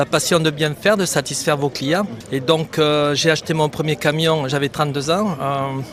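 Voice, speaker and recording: Noticeable background noise sits behind a man whose fairly high pitch carries fairly even intonation at a moderate pace. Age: 60s. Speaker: trucking company founder. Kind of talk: street interview. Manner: hesitant, frequent fillers.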